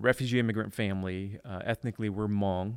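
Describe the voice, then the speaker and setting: A man with an American accent and a plain, everyday voice, fairly low in pitch, fairly quick, with fairly even intonation and a dry, close sound with no echo on a very clean recording with a silent background. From Detroit inner city, US. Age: 40s. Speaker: church planting director and author. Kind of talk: casual interview chat.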